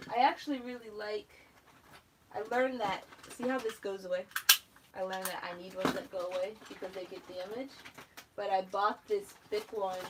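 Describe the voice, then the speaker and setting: Mumbling at a fairly quick pace, a woman uses ordinary pitch variation, big swings in loudness and long, frequent pauses over noticeable background noise. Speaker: planner YouTuber. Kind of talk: live stream craft tutorial. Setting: YouTube live video. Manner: casual, chatty. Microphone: no microphone, sound low.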